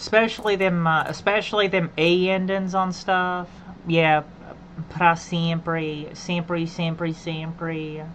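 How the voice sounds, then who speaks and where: In an Appalachian accent, a woman speaks at a very slow pace with fairly low pitch and monotone, flat intonation. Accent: native Appalachian English. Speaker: game streamer. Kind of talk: casual chat. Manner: halting; repetitive.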